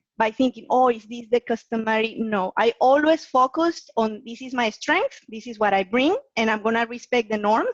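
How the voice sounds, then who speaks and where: In a dry, close recording with no echo, a woman with a non-native accent speaks at a high pitch and moderate pace with ordinary pitch variation. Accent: foreign accent, noticeable. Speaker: guest lecturer on presentation skills. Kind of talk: webinar Q&A answer.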